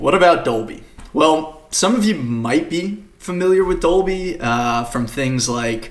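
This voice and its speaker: Audible room echo surrounds a man with an American accent who talks at a fairly slow pace with ordinary pitch variation. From Australia, Queensland. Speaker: developer advocate, conference speaker. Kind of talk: conference talk. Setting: recorded at home for virtual conference. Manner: many fillers (uh, um).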